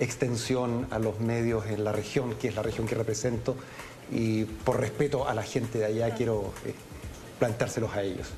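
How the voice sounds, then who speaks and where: Monotone, flat intonation from a man at medium pitch and moderate pace, with audible room echo and noticeable background noise. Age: 60s. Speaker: congressman. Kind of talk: TV interview. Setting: TV studio, live broadcast. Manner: hesitant, many fillers.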